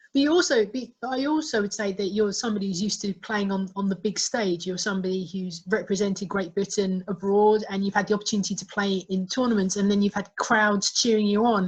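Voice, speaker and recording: In an Essex accent, a somewhat breathy woman talks at a fairly quick pace with fairly even intonation and hardly any pauses. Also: medium pitch for a woman. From Essex, England. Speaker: interviewer. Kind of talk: interview. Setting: video call.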